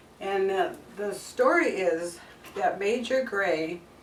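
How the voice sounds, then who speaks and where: A woman talks at a medium pitch. Audible room echo and noticeable background noise come through. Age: 70s. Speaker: cooking channel host. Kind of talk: cooking tutorial. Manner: casual, conversational.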